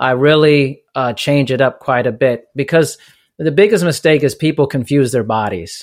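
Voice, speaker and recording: This man has an ordinary speaking voice, fairly high in pitch with ordinary pitch variation, speaking at a moderate pace on a very clean recording with a silent background. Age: 40s. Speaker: fitness business owner and personal trainer. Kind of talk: interview.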